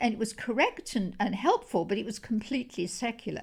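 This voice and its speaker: A woman speaks at a fairly high pitch, somewhat breathy. The recording is very clean with a silent background. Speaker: Bible translation consultant. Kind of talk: interview answer.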